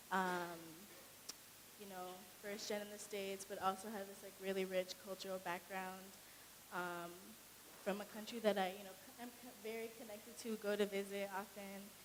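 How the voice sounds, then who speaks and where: The speaker talks in a flat monotone with an American accent at a moderate pace, with long, frequent pauses. Loudness swings widely, and background noise is noticeable. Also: woman, medium pitch for a woman. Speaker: college student. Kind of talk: panel discussion. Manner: casual.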